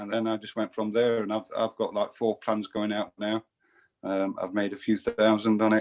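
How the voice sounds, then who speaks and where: A man with an English accent at a fairly low pitch and a moderate pace, his intonation monotone and flat. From England, Nottingham. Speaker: self-employed investor giving testimony. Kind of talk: testimony. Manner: halting, many fillers.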